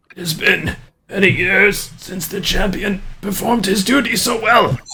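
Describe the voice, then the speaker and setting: A man uses a put-on character voice, high-pitched and raspy. He keeps a moderate pace in a raised, projected voice. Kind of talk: formal, archaic.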